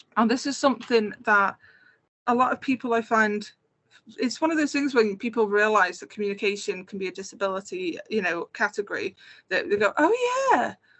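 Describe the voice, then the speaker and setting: Fairly quick and lively, a woman with a Scouse accent speaks at a fairly high pitch. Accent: Scouse, toned down here. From Merseyside, northwest England. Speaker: game producer and accessibility consultant. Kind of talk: conference talk with slides. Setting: online community event. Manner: conversational, many filler words.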